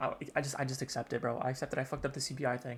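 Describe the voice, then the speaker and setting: A man, whispering. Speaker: day trader vlogger. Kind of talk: casual trading journal vlog. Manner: whispering, talking weird; halting, many fillers.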